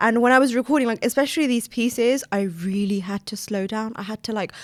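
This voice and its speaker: Someone with a British accent talks at a very fast pace with ordinary pitch variation. The recording is very clean, with a silent background. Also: woman, fairly high pitch for a woman. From England, Afghan Sikh family. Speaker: author and poet. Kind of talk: casual interview chat. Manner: fast talker.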